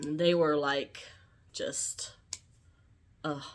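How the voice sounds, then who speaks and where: In a Southern US accent, a woman speaks at a very slow pace. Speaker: YouTuber. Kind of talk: casual vlog monologue. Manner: slow, sometimes mumbled; halting, many fillers.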